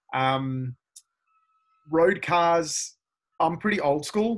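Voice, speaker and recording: In a very clean recording with a silent background, a man speaks in an Australian accent. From Australia, Melbourne. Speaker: driving instructor and car video creator. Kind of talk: interview.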